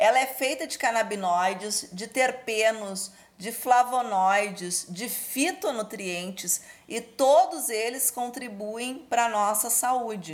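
Speaking at a very slow pace, a woman uses a fairly high pitch, lively intonation and big swings in loudness. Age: 40s. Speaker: cannabis cooking teacher. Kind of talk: interview.

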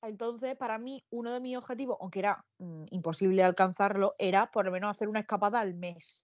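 A woman speaks very fast at a medium pitch, with ordinary pitch variation. The sound is dry and close with no echo, over a quiet background. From Spain, Murcia. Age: 20s. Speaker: podcast co-host. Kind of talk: casual chat.

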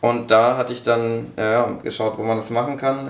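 A man's medium-pitched voice. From northern Germany (Braunschweig, Lower Saxony). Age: 20s. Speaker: young politician and sports management graduate. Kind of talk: podcast interview.

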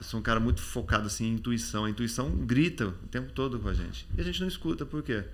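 In a room with audible echo, a man talks very fast, with hardly any pauses. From Brazil, Campinas then Rio de Janeiro. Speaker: memory expert and author. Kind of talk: casual interview chat.

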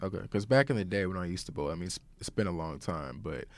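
On a very clean recording with a silent background, someone speaks with an American accent. The pace is very fast. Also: man. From Oklahoma (Broken Arrow). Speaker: student podcast host. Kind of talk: interview. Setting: studio.

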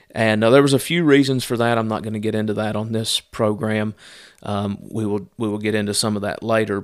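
With an Appalachian accent, a man speaks in a fairly low pitch and fairly even intonation. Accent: Southern US (Appalachian). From US South, Southwest Virginia. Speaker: missionary. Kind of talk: casual monologue update. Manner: halting, many fillers.

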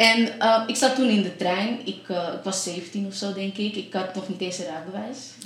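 Over noticeable background noise, a woman talks at a medium pitch with fairly even intonation and hardly any pauses. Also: moderate pace. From Amsterdam, Netherlands. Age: 20s. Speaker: nurse. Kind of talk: casual chat. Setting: radio studio.

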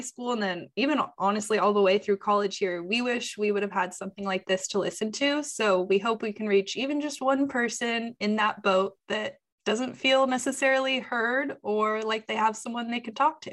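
A woman talks at a moderate pace with hardly any pauses, in a normal speaking voice. Her pitch is fairly high, with ordinary variation. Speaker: podcast host, journalism student. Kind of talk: casual chat.

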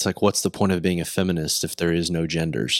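Very deep, low male voice with a Texas accent, dry and close with no echo. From Texas, Decatur. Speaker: podcast host and musician. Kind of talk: casual chat.

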